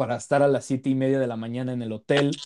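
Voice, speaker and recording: In a Mexican accent, the voice has a dark, mellow tone and monotone, flat intonation. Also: man. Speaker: podcast host. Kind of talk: casual chat.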